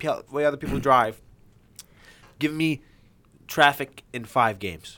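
Speaking at a moderate pace, a man with a fairly high pitch sounds animated, his pitch varying in an ordinary way. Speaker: podcast host. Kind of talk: casual chat.

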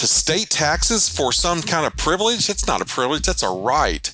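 A man with an Ozark accent, vocal fry, very wide pitch swings and a moderate pace. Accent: Ozark Southern US. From Arkansas Ozarks. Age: 50s. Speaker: local political candidate. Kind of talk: interview. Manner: halting, frequent repetitions.

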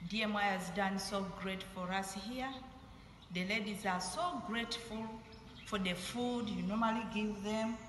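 Speaking fairly slowly at a medium pitch with ordinary pitch variation, a woman is heard over noticeable background noise and audible room echo. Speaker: local mission partner. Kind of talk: recorded video message.

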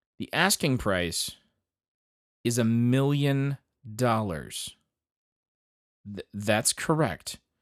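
A man speaks at a very slow pace, with long, frequent pauses and lively intonation at a medium pitch. The sound is dry and close with no echo, on a very clean recording with a silent background. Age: 40s. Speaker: podcast host. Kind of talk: casual monologue. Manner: animated.

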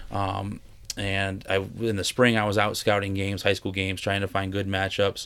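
A man with an American accent talks at a fairly quick pace in a fairly low pitch. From Western New York and Pennsylvania. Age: 30s. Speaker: travel baseball organization director. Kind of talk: casual interview chat.

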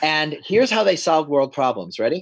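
In an American accent, a man with an ordinary speaking voice talks at a moderate pace, his pitch fairly high and his intonation lively, against a quiet background. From New York. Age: 50s. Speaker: men's group leader. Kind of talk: casual chat.

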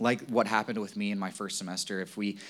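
An ordinary speaking voice, this man talks at a fairly quick pace with fairly even intonation. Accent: American. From Virginia, US. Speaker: lay preacher, church group leader. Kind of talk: sermon.

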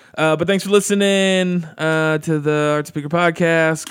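This is a plain, everyday voice from a man. He speaks at a fairly high pitch with ordinary pitch variation. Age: 20s. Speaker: podcast host. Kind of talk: casual chat.

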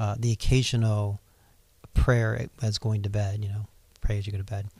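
A man with an American accent speaks in a fairly low pitch, with a dark, mellow tone, somewhat breathy, in monotone, flat intonation. The sound is dry and close with no echo, in a very clean recording with a silent background. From Ohio, US Midwest. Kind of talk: casual interview, personal testimony.

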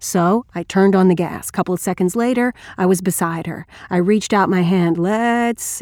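Natural-voiced reading aloud, pitch shifting in an ordinary way

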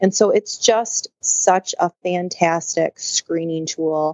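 A woman with an American accent and a fairly low voice speaks at a very slow pace. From Michigan, near Grand Rapids. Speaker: naturopath and nutrition consultant. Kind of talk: interview.

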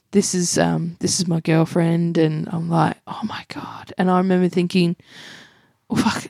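A woman with an Australian accent speaks in a fairly low voice at a moderate pace. Her intonation is fairly even, and the sound is dry and close with no echo. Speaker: comedian and radio host. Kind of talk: casual interview chat. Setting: home living room.

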